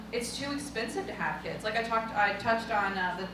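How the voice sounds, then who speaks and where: A woman talks at a medium pitch. Noticeable background noise and audible room echo surround her voice. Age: 20s. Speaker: guest speaker. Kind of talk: audience Q&A answer.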